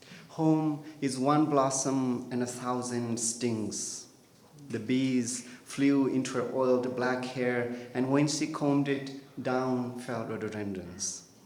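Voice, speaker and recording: With a Nepali accent, a man speaks at a very slow pace in a medium pitch with fairly even intonation. Noticeable background noise and audible room echo fill the recording. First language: Tamang. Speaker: poet. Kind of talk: poetry reading.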